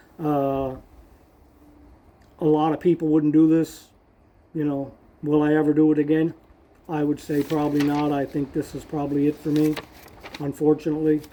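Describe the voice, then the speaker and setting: This man talks at a moderate pace in a fairly high, monotone voice with flat intonation and long, frequent pauses. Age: 60s. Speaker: motorcycle traveler vlogger. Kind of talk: casual vlog recap. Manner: conversational with many fillers.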